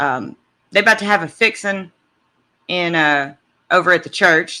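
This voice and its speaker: The speaker has a Southern US accent on a very clean recording with a silent background. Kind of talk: casual talk to camera.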